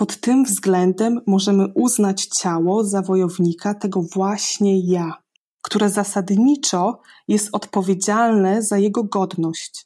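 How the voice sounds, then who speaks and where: In a very clean recording with a silent background, a woman speaks very slowly at a medium pitch, her tone dark and mellow, her intonation fairly even and her loudness very even. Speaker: bilingual German-Polish presenter and reader. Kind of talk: reading aloud.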